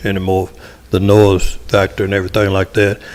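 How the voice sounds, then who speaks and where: A man with a fairly low pitch and a Tennessee accent. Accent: Southern US (Tennessee). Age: 70s. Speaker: local resident speaking at public hearing. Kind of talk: public comment at council meeting. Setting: city council meeting.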